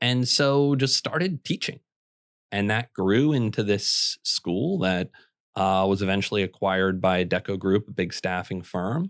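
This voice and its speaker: A plain, everyday voice with an American accent speaks at a fairly slow pace, with ordinary pitch variation and very even loudness. The sound is dry and close with no echo, on a very clean recording with a silent background. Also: man, fairly low pitch for a man. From Minnesota. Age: 30s. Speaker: housing writer and entrepreneur. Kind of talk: podcast interview.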